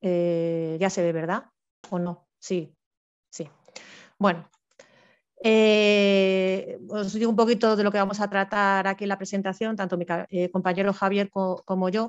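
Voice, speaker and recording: A woman speaks in a monotone, flat intonation, leaving long, frequent pauses. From Spain (Madrid). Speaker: forestry engineer, civil servant; presenter. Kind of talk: online presentation talk; informal webinar presentation. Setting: video call. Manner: fast. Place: home room. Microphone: headset.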